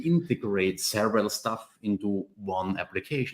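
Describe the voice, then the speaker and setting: A man with a German accent talks at a very slow pace with lively intonation. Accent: German-speaking. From Austria. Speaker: software architecture expert. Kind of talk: casual chat. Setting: video call from home office.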